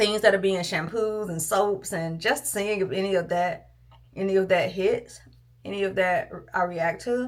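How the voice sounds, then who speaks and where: A woman's plain, everyday voice at a medium pitch, moderate in pace, with fairly even intonation. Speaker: lifestyle vlogger. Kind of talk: casual vlog chat.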